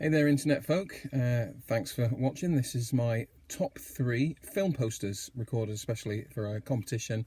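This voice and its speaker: A man's somewhat breathy voice at medium pitch comes at a moderate pace with ordinary pitch variation, on a very clean recording with a silent background. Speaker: horror fan and writer. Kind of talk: casual talk to camera. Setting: in a car.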